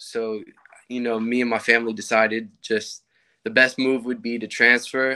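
A man's tone comes across bright and sharp. The background is quiet. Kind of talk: interview answer. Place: home room. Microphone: video call.

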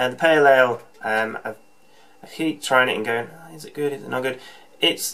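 Moving at a fairly quick pace, the man's speech shows ordinary pitch variation. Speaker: home brewer vlogger. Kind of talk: casual vlog chat. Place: home room. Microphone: webcam.

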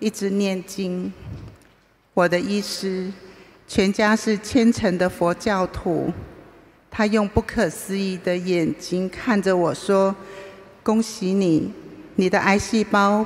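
Fairly even intonation at a very slow pace. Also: woman. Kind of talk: read personal testimony speech. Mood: earnest, emotional. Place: hall. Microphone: podium.

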